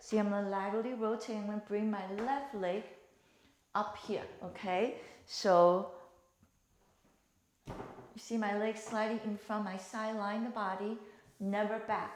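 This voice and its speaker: A woman speaks in a calm tone at a fairly high pitch with monotone, flat intonation. Her fairly slow delivery has long, frequent pauses amid audible room echo. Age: 60s. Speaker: fitness instructor. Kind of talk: exercise tutorial. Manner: calm, instructive with breathing cues.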